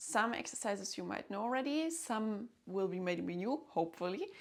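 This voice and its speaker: Lively intonation and vocal fry mark this woman's medium-pitched voice as she talks at a moderate pace with a German accent. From Germany. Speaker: violinist and music teacher. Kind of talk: tutorial. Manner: hesitant, with fillers.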